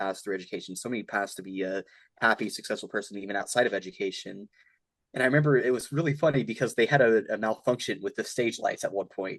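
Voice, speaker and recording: Against a quiet background, the speaker talks at a very fast pace with ordinary pitch variation. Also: man. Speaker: student officer candidate. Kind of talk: casual interview. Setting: video call.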